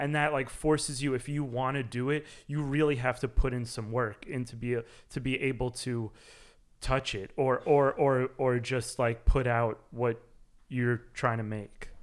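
Recorded very cleanly against a silent background, a man in an unremarkable speaking voice talks at a fairly slow pace, with medium pitch and fairly even intonation. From New York City. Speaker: drummer in a band. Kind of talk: interview chat.

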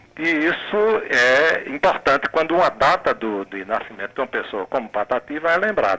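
A man's fairly high voice at a moderate pace, with very wide pitch swings, hardly any pauses and noticeable background noise. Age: 60s. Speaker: poet. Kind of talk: radio interview. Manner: halting.

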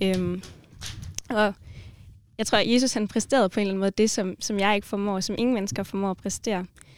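With an ordinary speaking voice, a woman talks in a medium pitch and fairly even intonation, the sound dry and close with no echo. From Denmark, Grenaa area. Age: 20s. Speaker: student and mission organisation worker. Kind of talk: casual chat about faith.

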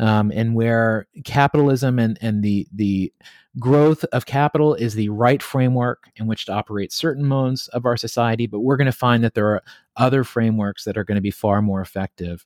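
On a very clean recording with a silent background, a man speaks fairly quickly in a plain, everyday voice, medium in pitch with ordinary pitch variation. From US South, southwest Virginia (Appalachia). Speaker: tech company co-founder and author. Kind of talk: interview conversation.

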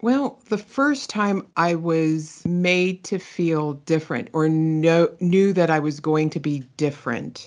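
A woman with an American accent at a fairly low pitch, very slow pace, hardly any pauses and ordinary pitch variation. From Pittsburgh, Pennsylvania, US. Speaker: digital asset manager. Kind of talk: interview testimony.

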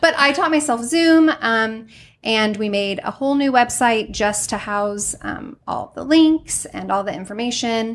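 A woman speaks in a Midwestern accent at a fairly slow pace. Her pitch sits fairly high and her intonation is lively. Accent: general American, Midwestern. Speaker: dance studio owner. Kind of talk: casual interview chat. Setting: studio.

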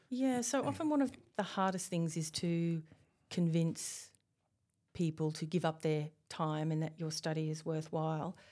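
A woman at a moderate pace, fairly low in pitch, with a dark, mellow tone, ordinary pitch variation and a slight Australian accent, on a very clean recording with a silent background. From Australia, Tasmania. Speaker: university researcher, principal investigator. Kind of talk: interview. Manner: hesitant, with fillers.

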